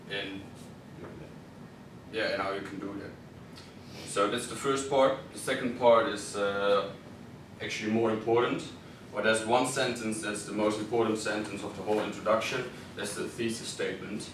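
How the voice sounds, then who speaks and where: With monotone, flat intonation and a fairly low pitch, a man talks with long, frequent pauses and big swings in loudness, amid noticeable background noise and audible room echo. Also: moderate pace. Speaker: student presenter. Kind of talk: class presentation. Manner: halting.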